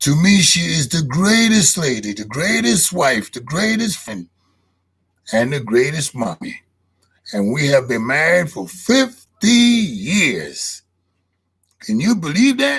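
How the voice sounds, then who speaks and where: Speaking at a very slow pace, a man uses a fairly high pitch with very wide pitch swings and vocal fry. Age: 70s. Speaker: podcast host. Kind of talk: casual monologue. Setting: live stream.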